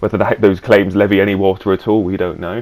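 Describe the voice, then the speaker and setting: This man, fairly low in pitch, talks fairly quickly amid noticeable background noise. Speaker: gaming youtuber. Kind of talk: gameplay commentary. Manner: halting.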